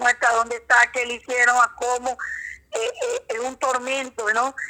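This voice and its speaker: Her high-pitched voice moving at a moderate pace, a woman speaks in a monotone with flat intonation. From Colombian Caribbean, San Juan Nepomuceno (Bolívar). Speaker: human rights defender and lawyer. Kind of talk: interview. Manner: halting.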